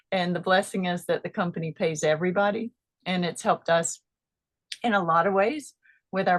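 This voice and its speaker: Here is a woman with an ordinary speaking voice, medium pitch and ordinary pitch variation. She talks at a moderate pace, and the sound is dry and close with no echo. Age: 50s. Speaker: product distributor giving testimony. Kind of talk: testimony.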